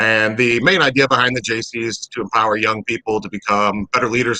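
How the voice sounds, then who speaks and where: A man's medium-pitched voice at a very fast pace, ordinary in pitch variation, dry and close with no echo. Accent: Midwestern American. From St. Charles, Missouri, US Midwest. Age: 30s. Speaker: civic organization president. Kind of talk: interview.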